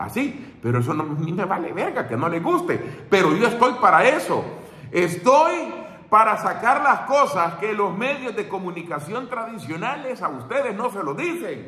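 In an audible room echo, a man with a high voice speaks at a fairly slow pace, raised and projected, animated in tone and swinging very widely in pitch. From El Salvador. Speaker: political commentator; political commentator streamer. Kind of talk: casual monologue. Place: home room. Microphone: phone near.

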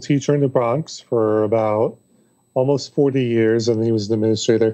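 A man with an American accent talks at a moderate pace with ordinary pitch variation. The background is quiet. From New York City. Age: 30s. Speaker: author and public speaker; public speaker. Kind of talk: casual interview chat. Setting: remote call. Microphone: video call.

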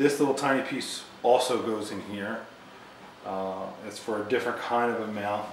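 The recording carries audible room echo. A man talks over noticeable background noise. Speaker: product reviewer. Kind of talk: product overview tutorial. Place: home room.

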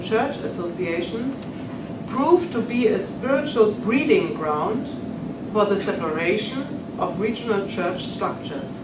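A woman talks at a moderate pace with a German accent. Noticeable background noise runs behind her. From Germany. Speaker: professor of church history. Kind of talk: lecture. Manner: formal. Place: hall.

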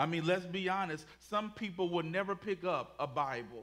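Here a man talks at a moderate pace. His tone is bright and sharp, with ordinary pitch variation. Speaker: pastor. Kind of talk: sermon. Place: church.

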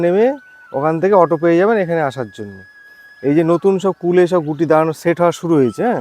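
Noticeable background noise lies beneath a voice with ordinary pitch variation. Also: man. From West Bengal, Nadia district. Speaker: fruit farmer and nursery grower. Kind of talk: casual interview in an orchard. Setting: outdoors in an orchard.

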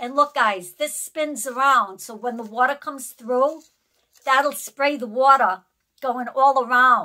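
Against a quiet background, a woman uses a raised, projected voice with a bright, sharp tone and ordinary pitch variation. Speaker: haul vlogger. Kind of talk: casual vlog chat. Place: home room. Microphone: phone near.

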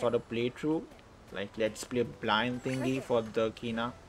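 This man's medium-pitched voice comes through over noticeable background noise. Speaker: gaming YouTuber. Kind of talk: let's play gaming commentary. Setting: home recording at computer. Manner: animated.

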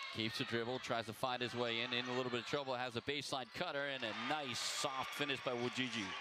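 A man at medium pitch sounds animated against noticeable background noise. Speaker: play-by-play announcer. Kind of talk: live play-by-play sports commentary. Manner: fast, animated play-by-play delivery.

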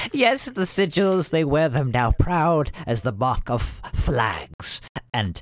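A man is talking. He uses a put-on character voice. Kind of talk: grand prophetic speech. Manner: frenzied, ecstatic, cackling.

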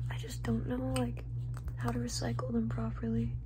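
Loud background noise surrounds a woman talking at a moderate pace. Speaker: ASMR streamer. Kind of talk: ASMR casual talk to camera. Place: home room. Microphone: phone near.

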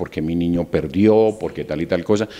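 This man's voice sits at a very deep, low pitch with a dark, mellow tone. His pitch varies in an ordinary way. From Colombia, Valle del Cauca (Barragán, raised in Tuluá); Valle del Cauca, Colombia. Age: 50s. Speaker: university rector. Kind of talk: interview. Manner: halting, frequent fillers. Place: office. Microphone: handheld.

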